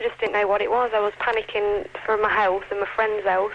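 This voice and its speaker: A woman talks very fast at a fairly high pitch. Background noise is noticeable. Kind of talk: eyewitness interview. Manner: shaken, upset.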